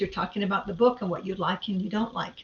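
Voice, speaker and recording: A woman talks at a medium pitch. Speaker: conference presenter. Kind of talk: lecture. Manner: fast.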